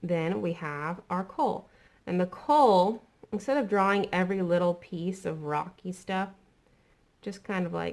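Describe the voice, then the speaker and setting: A woman speaks in an ordinary speaking voice at a medium pitch. Her pace is fairly slow, with ordinary pitch variation. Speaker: art teacher. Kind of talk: tutorial. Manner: casual, friendly.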